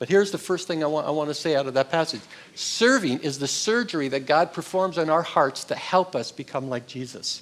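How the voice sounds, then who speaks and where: Talking at a fairly quick pace, a man uses an unremarkable speaking voice with fairly high pitch and ordinary pitch variation. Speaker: pastor. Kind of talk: sermon.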